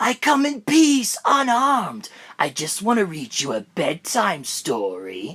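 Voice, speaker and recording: At a fairly slow pace, someone performs a put-on character voice. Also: female-sounding voice, fairly high pitch for a woman. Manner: creepy, menacing.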